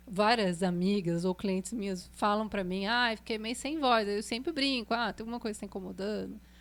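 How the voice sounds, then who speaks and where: A plain, everyday voice from a woman, fairly high in pitch, at a moderate pace in a very clean recording with a silent background. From Brazil, Pindamonhangaba, São Paulo state. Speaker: singer and voice teacher. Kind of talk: podcast interview. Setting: studio.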